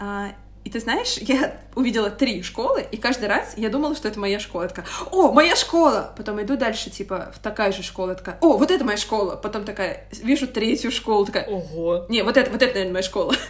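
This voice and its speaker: A woman speaks at a fairly quick pace with a fairly high pitch and lively intonation. Noticeable background noise can be heard. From Moscow, Russia. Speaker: podcast co-host. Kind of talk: casual chat.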